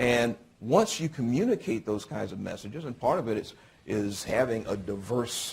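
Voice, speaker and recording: With lively intonation and a somewhat breathy voice, a man speaks at a medium pitch and a moderate pace. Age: 60s. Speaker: panelist on city policing. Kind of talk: panel discussion. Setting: law school breakfast panel with audience. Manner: halting, many fillers.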